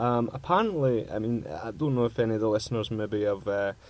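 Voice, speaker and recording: With a strong Scottish accent, a man speaks at a fairly quick pace. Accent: broad Scottish. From Scotland. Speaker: radio host. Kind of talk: casual chat. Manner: halting.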